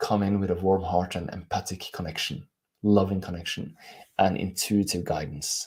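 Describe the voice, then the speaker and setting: A man speaks in a very deep, low pitch with a Norwegian accent. His pace is moderate and his intonation fairly even. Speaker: life coach. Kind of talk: live stream talk. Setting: live stream on camera.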